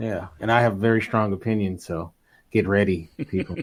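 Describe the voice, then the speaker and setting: A man with an unremarkable speaking voice, fairly low-pitched, at a moderate pace on a very clean recording with a silent background. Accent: American. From Los Angeles, California. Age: 30s. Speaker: podcaster and filmmaker. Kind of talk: casual chat.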